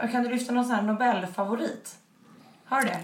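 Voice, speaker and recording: A woman's high-pitched voice at a fairly quick pace with fairly even intonation, plus audible room echo and noticeable background noise. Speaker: podcast host. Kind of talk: casual chat.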